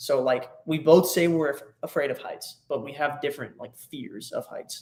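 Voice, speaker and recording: A man at a moderate pace with a slight Texan accent. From Texas. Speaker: travel vlogger. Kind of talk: casual chat. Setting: livestream on a laptop. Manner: halting. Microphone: laptop mic.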